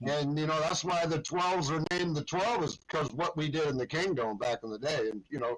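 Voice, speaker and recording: Spoken with an American accent, the delivery has lively intonation and hardly any pauses. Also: man, fairly high pitch for a man. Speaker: longtime superfan. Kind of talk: casual chat. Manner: loud.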